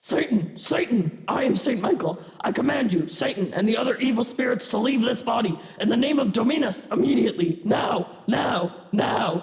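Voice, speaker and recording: A man puts on a character voice pitched high for a man. He speaks at a moderate pace with a slight echo. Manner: commanding.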